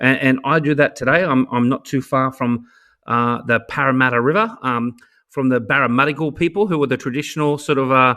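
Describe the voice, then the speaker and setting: In an Australian accent, a man with a medium pitch and a bright, sharp tone talks at a fairly quick pace, with ordinary pitch variation and very even loudness, against a quiet background. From Australia, Sydney. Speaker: education technology advocate and author. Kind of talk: podcast interview. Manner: halting, many repeated words; animated.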